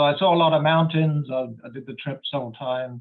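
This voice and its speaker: In a London accent, the speaker goes at a moderate pace with ordinary pitch variation. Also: man. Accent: English, from London. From London, England. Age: 60s. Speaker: geology professor. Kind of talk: lecture. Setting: video call.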